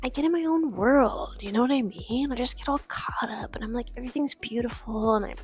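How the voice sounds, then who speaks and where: A woman whispers at a moderate pace. Noticeable background noise is present. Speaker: artist and vlogger. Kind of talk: casual vlog voiceover. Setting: at home at night. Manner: whispering.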